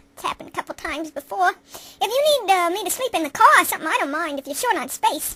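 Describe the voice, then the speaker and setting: In a put-on character voice, a woman squeaks at an extremely high pitch and a very fast pace, with very wide pitch swings and big swings in loudness, in a dry, close sound with no echo. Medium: solo performance. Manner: nervous, stammering.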